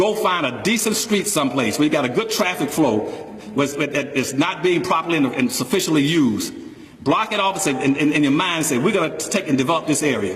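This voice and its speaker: A man with a fairly high pitch speaks in an animated tone at a fairly quick pace, with lively intonation and very even loudness, over noticeable background noise and audible room echo. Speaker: public speaker on economics. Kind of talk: speech to an audience. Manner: fast.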